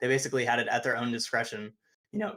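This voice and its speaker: This man rattles along at a very fast pace. His voice has a medium pitch. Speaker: discord participant, neuroscience enthusiast. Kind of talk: casual chat. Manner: animated.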